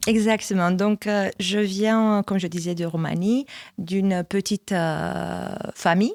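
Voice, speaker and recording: Speaking at a very slow pace, a woman with a medium pitch and fairly even intonation comes through a dry, close sound with no echo on a very clean recording with a silent background. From Romania. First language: Romanian (speaking French). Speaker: church communications manager. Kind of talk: testimony. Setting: studio.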